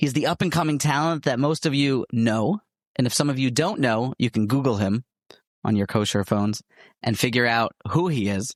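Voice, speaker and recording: A plain, everyday voice from a man at medium pitch, with ordinary pitch variation, very even loudness, a moderate pace and a very clean recording over a silent background. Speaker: podcast host. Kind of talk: podcast interview host.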